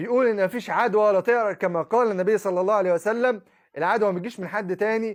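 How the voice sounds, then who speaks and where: Against a quiet background, a man with an Egyptian accent speaks at a fairly quick pace in a high pitch, animated in tone with ordinary pitch variation. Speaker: Islamic preacher. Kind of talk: monologue.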